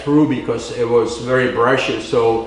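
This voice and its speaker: With a non-native accent, a man speaks at a moderate pace over noticeable background noise and audible room echo. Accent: foreign. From communist-era Eastern Europe. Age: 70s. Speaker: guest speaker, backpacker and trail advocate. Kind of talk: presentation to audience. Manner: halting, many fillers.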